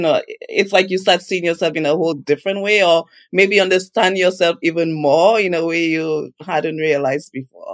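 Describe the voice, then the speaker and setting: A woman talks in a normal speaking voice. Her pace is moderate, with ordinary pitch variation. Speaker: podcast host. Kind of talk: casual interview.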